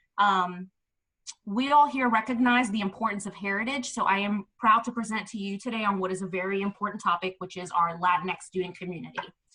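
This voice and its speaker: A woman with an American accent and an unremarkable speaking voice talks at a fairly quick pace and medium pitch, with ordinary pitch variation. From New York City, the Bronx. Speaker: education administrator and presenter. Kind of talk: webinar presentation.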